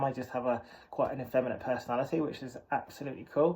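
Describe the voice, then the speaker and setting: Talking very fast in a flat, monotone way, a man with an English accent keeps his voice at a medium pitch. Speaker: vlogger. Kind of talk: personal monologue. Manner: hesitant.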